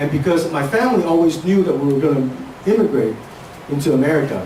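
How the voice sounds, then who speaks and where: Fairly quick speech comes from a man with ordinary pitch variation. Noticeable background noise and audible room echo are present. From Hong Kong, moved to Seattle at 13. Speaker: speaker sharing life story. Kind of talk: inspirational talk.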